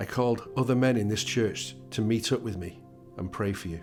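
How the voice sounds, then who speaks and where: Music plays in the background as a man with a fairly low voice speaks at a moderate pace with ordinary pitch variation. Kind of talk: prayer reading.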